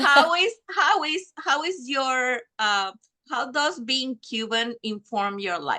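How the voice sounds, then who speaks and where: In a raised, projected voice, a woman speaks at a fairly slow pace with high pitch, a bright, sharp tone and very wide pitch swings. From Venezuela. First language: Spanish. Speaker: interviewer. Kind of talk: casual interview chat.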